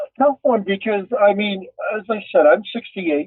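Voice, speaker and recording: A man with a high-pitched voice. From Canada. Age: 60s. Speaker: podcast guest. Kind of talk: casual chat. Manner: halting, repeats words.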